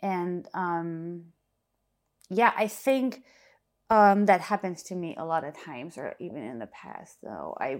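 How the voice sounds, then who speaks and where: A woman speaks with a German accent. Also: very clean recording, silent background. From Germany. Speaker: DJ and music producer. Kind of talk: casual interview chat.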